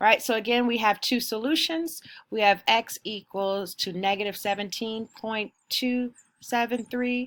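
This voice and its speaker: On a very clean recording with a silent background, a plain, everyday voice moves at a fairly slow pace with ordinary pitch variation. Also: woman, fairly high pitch for a woman. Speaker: teacher. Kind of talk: recorded math lesson.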